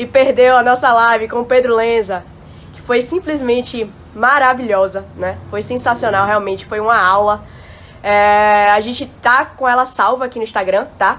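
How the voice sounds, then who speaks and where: Someone speaks with a Bahian accent at a moderate pace in an animated tone. The loudness swings widely. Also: woman, fairly high pitch for a woman. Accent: Bahian Brazilian Portuguese. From Bahia, Brazil. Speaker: live stream host. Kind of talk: live stream chat. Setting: Instagram live.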